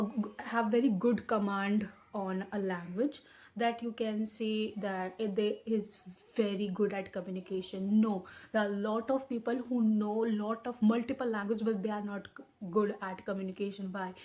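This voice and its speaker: A woman with an Indian accent speaks at a moderate pace in a fairly high, somewhat breathy, dark, mellow voice with monotone, flat intonation. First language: Hindi. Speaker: educational YouTuber. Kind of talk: tutorial. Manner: halting, with frequent self-corrections.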